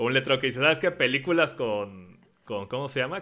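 Speaking in a Mexican accent, a man keeps a moderate pace. His pitch sits in the medium range. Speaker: podcast host. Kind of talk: casual chat. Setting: live stream with Discord call.

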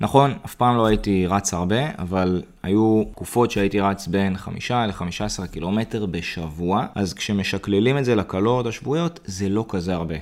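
A man with an unremarkable speaking voice, at fairly low pitch, keeps a moderate pace with hardly any pauses and ordinary pitch variation. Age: 30s. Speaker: fitness coach. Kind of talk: podcast monologue tutorial.

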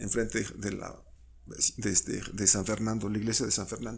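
A man speaks at a medium pitch with vocal fry. His pace is fairly quick. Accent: Mexico City. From Mexico City. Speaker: sociologist and university professor. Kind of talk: casual interview.

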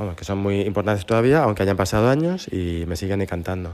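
At a fairly low pitch, a man talks in an ordinary speaking voice with ordinary pitch variation. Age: 40s. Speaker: former schoolmate. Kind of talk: recorded personal reminiscence.

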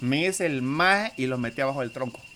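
Over noticeable background noise, a man with a Honduran accent speaks at a fairly high pitch and a fairly quick pace, with lively intonation. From Honduras. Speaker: podcast guest. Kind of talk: casual chat.

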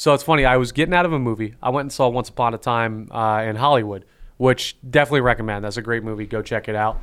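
A man with a slight Southern US accent talks at a very fast pace with ordinary pitch variation. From North Carolina, raised in NJ/Philly area. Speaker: podcast host. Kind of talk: casual chat.

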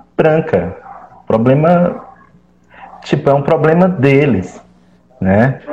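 Speaking at a very slow pace, a man keeps his intonation lively. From Fortaleza periphery, Ceará, Brazil. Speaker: graduate student and activist. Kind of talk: discussion panel.

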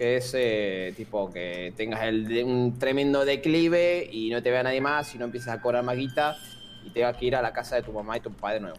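Amid noticeable background noise, a man with a Rioplatense accent speaks at a fairly quick pace, medium in pitch, with ordinary pitch variation. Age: 20s. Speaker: YouTuber. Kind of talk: casual chat.

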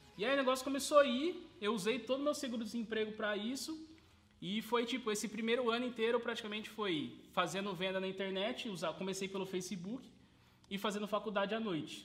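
Over noticeable background noise, a man talks at a fairly quick pace in a high pitch, with ordinary pitch variation. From Brazil, Sorocaba (São Paulo state). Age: 20s. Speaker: burger restaurant owner, entrepreneur. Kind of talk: casual interview.

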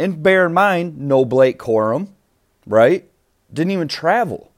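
A man with fairly high pitch talks at a fairly slow pace, his pitch swinging very widely. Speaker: sports podcast host. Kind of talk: casual sports commentary monologue.

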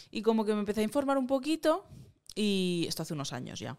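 Here is a woman with an unremarkable speaking voice. She talks at a fairly quick pace with lively intonation. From Catalonia (Moncada). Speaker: singer-songwriter and producer. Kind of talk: casual interview chat.

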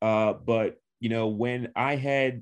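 An ordinary speaking voice with an American accent against a quiet background. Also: man. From Long Island, New York (Suffolk County). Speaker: sports writer. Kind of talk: casual interview.

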